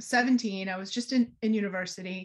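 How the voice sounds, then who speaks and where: This woman has an ordinary speaking voice at a medium pitch. She talks with an American accent. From US Northeast, Boston area. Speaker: energy healer and author. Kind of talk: podcast interview.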